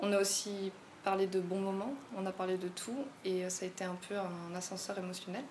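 Amid noticeable background noise, a woman speaks at a medium pitch and moderate pace with fairly even intonation. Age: 20s. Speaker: war widow. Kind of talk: testimony. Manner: halting.

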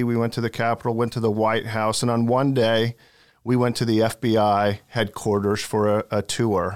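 In an American accent, a man with an ordinary speaking voice talks at medium pitch and a moderate pace on a very clean recording with a silent background. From Oregon, US Pacific Northwest. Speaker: senior law enforcement official. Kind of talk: interview.

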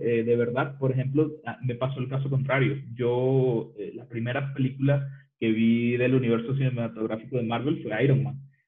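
Audible room echo surrounds a man's voice. His intonation is monotone and flat. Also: medium pitch for a man, moderate pace. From Venezuela. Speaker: designer and programmer. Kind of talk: casual chat.

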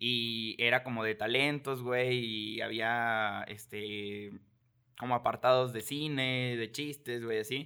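A man speaks in a monotone with flat intonation. His pace is very slow. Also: medium pitch for a man. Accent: Mexican. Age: 20s. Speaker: entrepreneur. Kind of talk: casual chat.

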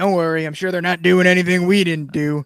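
Very fast put-on character voice from a man, high in pitch with monotone, flat intonation. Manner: creepy, leering, sly.

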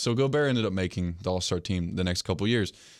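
Recorded very cleanly against a silent background, a plain, everyday voice with an American accent moves at a fairly quick pace with ordinary pitch variation. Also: man. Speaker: sports podcast host. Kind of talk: casual chat.

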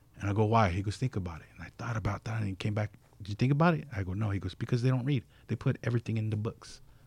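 A somewhat breathy voice with an American accent, ordinary pitch variation and a very fast pace. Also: man. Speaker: tattoo artist. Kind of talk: casual interview chat. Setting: studio.

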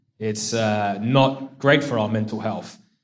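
The intonation is fairly even throughout. The voice carries an English accent. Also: man. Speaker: CrossFit athlete and coach. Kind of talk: live Q&A panel. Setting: stage with audience.

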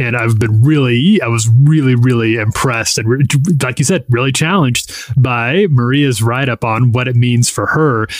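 A man is speaking at medium pitch. He has a plain, everyday voice. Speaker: magazine editor. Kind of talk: casual chat.

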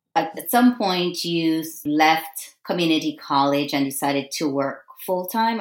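Over background music, a woman speaks at a fairly slow pace in a very deep, low pitch with lively intonation. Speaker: podcast host. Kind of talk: interview.

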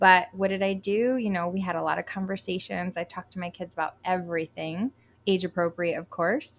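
Speaking at a fairly quick pace with an American accent, a woman has an ordinary speaking voice, medium pitch and fairly even intonation. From Connecticut. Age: 30s. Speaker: writer and homeschooling mom. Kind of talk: interview.

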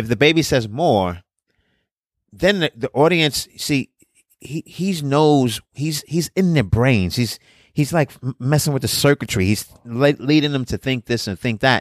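In a very clean recording with a silent background and a dry, close sound with no echo, a man with a New York accent speaks at a fairly slow pace in a fairly high pitch with lively intonation. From Brooklyn, New York. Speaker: comedian and podcast co-host. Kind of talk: casual chat.

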